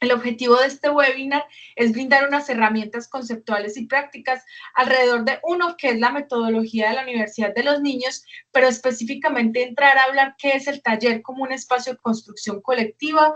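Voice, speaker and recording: At a fairly quick pace, a woman talks in a high voice with fairly even intonation. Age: 40s. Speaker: educational program coordinator. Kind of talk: webinar presentation.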